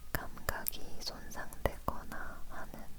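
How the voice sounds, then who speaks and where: Very slowly, a woman whispers. Behind her there is noticeable background noise. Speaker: ASMR creator. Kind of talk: ASMR whispered chat. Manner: whispered.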